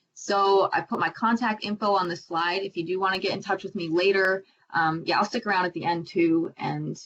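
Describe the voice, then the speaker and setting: A woman with an American accent talks in a plain, everyday voice at a fairly low pitch with fairly even intonation. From US Midwest, Iowa. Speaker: marine scientist, PhD student. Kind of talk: presentation to young audience. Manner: casual, many fillers.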